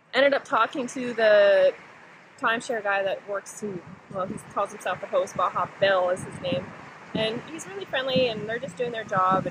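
A woman speaks at a moderate pace with ordinary pitch variation. The sound is dry with no echo, though noticeable background noise comes through. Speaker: travel vlogger. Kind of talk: casual vlog chat. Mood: cheerful, relaxed. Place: beach. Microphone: phone near.

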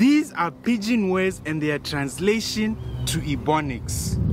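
Someone speaks at a fairly slow pace in a dry recording with no echo, though there is noticeable background noise. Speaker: comedy content creator. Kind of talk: casual comedic language comparison. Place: garden.

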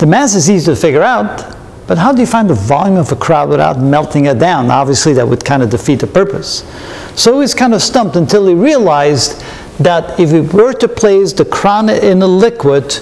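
Speech at a fairly quick pace swings very widely in pitch. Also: man. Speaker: physics lecturer. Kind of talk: lecture. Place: studio.

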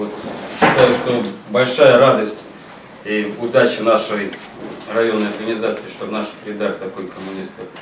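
With audible room echo and noticeable background noise, a man talks at a moderate pace. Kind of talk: speech at a creative evening. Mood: warm, congratulatory. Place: meeting room. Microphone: camera far.

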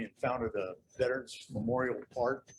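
The voice is somewhat breathy, with monotone, flat intonation and an American accent. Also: man. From Nebraska and South Dakota area, US Great Plains. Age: 70s. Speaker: Marine veteran speaking at public comment. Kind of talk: public comment at city council meeting. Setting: city council meeting in civic center.

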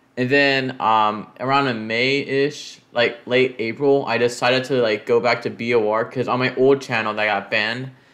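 A man speaks at a fairly slow pace with fairly even intonation. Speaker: youtuber. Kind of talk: casual vlog chat. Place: home room. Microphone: webcam.

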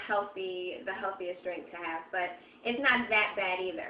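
Light background noise and audible room echo surround the recording. A woman speaks at a moderate pace. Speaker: home recipe vlogger. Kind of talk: casual tutorial chat. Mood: cheerful, relaxed. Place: kitchen. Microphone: webcam.

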